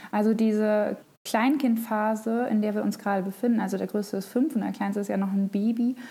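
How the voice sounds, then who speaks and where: A woman's fairly high, somewhat breathy voice with a dark, mellow tone, monotone and flat, at a fairly quick pace. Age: 30s. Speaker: mother of three, crafter on social media. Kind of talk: casual interview chat.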